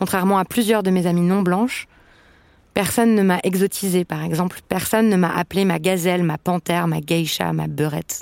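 A woman with an unremarkable speaking voice uses fairly even intonation. The recording is very clean, with a silent background and a dry, close sound with no echo. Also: fairly low pitch for a woman, moderate pace. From France. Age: 30s. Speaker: podcast host. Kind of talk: scripted narration.

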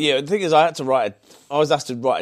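Man with a Birmingham accent and lively intonation. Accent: Brummie. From Birmingham, England (Solihull). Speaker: automotive artist. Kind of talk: casual chat. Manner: halting, many repetitions.

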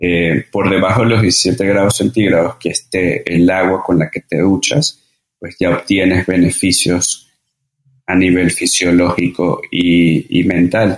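This man's voice sits very deep and low. He talks very slowly. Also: fairly even intonation. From Venezuela (Caracas, Margarita, Mérida). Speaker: breathing and cold-exposure workshop instructor. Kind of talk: interview conversation. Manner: halting, frequent repetitions and fillers.

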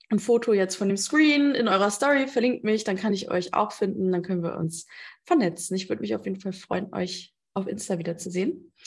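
Against a quiet background, a woman with a normal speaking voice talks at a moderate pace with lively intonation. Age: 30s. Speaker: business coach and podcast host. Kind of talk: live talk at an online conference. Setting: online conference talk. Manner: frequent fillers (ähm).

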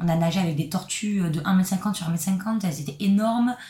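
This is a woman talking. There is somewhat of a breathy quality to her voice. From southern France. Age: 20s. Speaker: backpacker. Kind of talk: casual chat.

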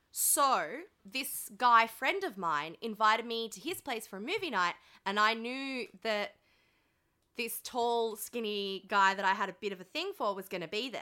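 A woman's bright, sharp, animated voice with an Australian accent, lively intonation and a fairly slow pace. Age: 20s. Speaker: podcast host. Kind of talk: casual chat. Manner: animated, jokey.

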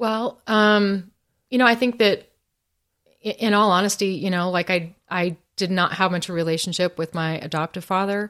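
A woman with a plain, everyday voice speaks at a moderate pace and medium pitch with fairly even intonation, on a very clean recording with a silent background. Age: 50s. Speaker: testimony speaker. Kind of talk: testimony.

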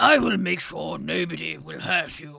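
Raspy and gruff, a man delivers a put-on character voice at a moderate pace. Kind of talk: posh. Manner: wise, kindly reassuring.

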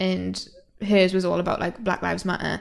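Speaking at a fairly quick pace, a woman with a fairly low pitch shows vocal fry.

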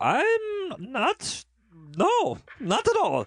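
An extremely high-pitched, put-on character voice carries the speech.

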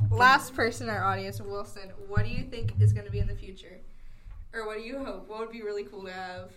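A woman at a fairly quick pace with big swings in loudness, plus audible room echo and noticeable background noise. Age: 18. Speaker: college student podcast co-host. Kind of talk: casual chat.

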